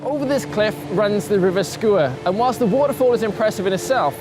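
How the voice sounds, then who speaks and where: Lively intonation at a fairly quick pace, with music in the background. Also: man. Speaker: science presenter. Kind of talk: documentary presenting to camera.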